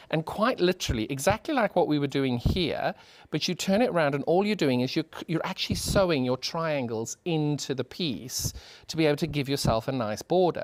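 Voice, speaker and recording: Fairly quick speech in a British accent on a very clean recording with a silent background. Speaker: sewing demonstrator. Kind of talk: tutorial. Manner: animated; fast.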